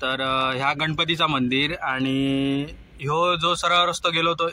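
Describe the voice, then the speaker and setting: In a Konkan accent, a man speaks with a fairly high pitch and fairly even intonation. Noticeable background noise can be heard. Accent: Malvani. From Konkan, Maharashtra. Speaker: truck driver. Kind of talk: casual vlog narration while driving.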